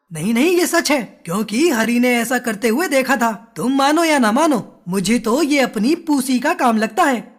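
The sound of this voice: A cartoonish character voice with fairly high pitch runs at a moderate pace with hardly any pauses.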